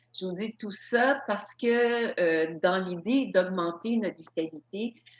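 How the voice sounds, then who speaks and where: At a very slow pace, a woman speaks in a medium pitch. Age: 60s. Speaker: yoga instructor and author. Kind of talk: lecture.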